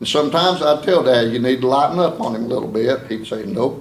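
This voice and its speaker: A man with an Appalachian accent speaks at a fairly quick pace with lively intonation. Room echo is audible. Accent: Appalachian southern US. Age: 60s. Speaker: family member accepting a resolution. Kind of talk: public meeting speech. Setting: county board meeting.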